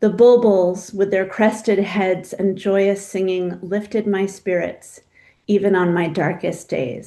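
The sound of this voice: An unforced reading voice carries the clip.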